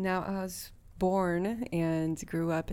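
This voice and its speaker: Fairly low-pitched woman with a dark, mellow tone and fairly even intonation, on a very clean recording with a silent background. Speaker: solo podcast host. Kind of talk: casual monologue. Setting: home recording. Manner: frequent laughter and fillers.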